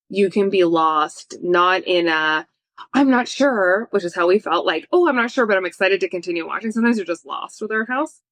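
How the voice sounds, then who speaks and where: In a slight East Coast US accent, a woman with a medium pitch speaks fairly quickly in an animated tone with lively intonation, the sound dry and close with no echo. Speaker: film reviewer. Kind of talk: casual chat.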